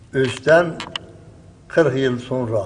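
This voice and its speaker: The man talks very slowly, his pitch varying in an ordinary way. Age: 70s. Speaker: Quran memorizer, former horse-cart driver. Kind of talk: interview answer.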